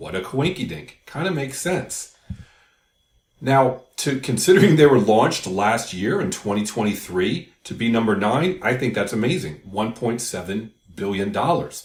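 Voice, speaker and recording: A man's voice comes through somewhat breathy. His pitch swings very widely. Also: medium pitch for a man, moderate pace. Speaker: crypto YouTuber. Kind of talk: casual explainer video.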